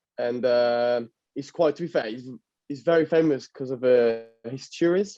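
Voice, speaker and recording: Speaking with an Italian accent at a moderate pace, a man uses ordinary pitch variation, and his loudness swings widely. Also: medium pitch for a man. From northern Italy. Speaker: footballer. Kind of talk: interview. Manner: halting.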